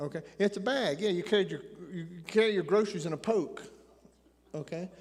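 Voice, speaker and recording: Speaking at a fairly quick pace with a slight Appalachian accent, a man with a high voice shows ordinary pitch variation. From Appalachian Tennessee. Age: 60s. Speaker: preacher. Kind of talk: sermon.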